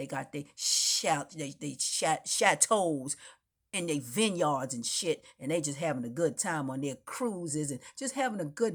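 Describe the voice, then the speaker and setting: In a fairly low voice, a woman talks with an animated tone. Her pace is moderate. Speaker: spiritual vlogger. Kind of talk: impassioned monologue.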